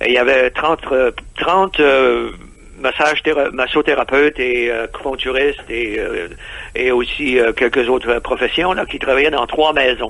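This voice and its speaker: A man speaks at medium pitch and a moderate pace, with ordinary pitch variation. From Quebec. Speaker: expatriate entrepreneur. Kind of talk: radio interview. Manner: halting, many hesitations.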